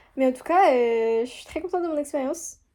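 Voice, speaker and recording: At a fairly quick pace, a woman talks in a high pitch with a dark, mellow tone. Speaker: student vlogger. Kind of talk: casual vlog. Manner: hesitant, many fillers.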